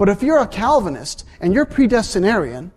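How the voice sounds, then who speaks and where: Lively intonation marks this man's speech, which moves at a moderate pace. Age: 40s. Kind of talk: lecture.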